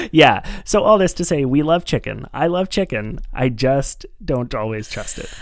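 A man with a normal speaking voice, lively intonation and a moderate pace. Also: fairly high pitch for a man. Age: 30s. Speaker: podcast co-host. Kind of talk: casual chat.

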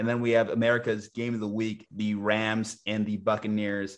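A man speaks in a flat, monotone way. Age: 20s. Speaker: sports podcast host. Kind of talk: casual chat.

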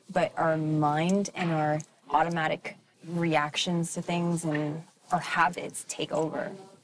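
A woman speaks at a fairly low pitch. Noticeable background noise runs underneath. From Quebec, Montreal. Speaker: actor. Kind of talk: interview conversation.

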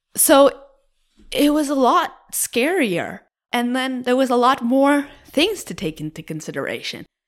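A woman's high voice with very wide pitch swings, at a fairly slow pace, in a very clean recording with a silent background. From Cape Breton, Nova Scotia (rural). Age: 20s. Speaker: graduate student and queer rights activist. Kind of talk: interview conversation.

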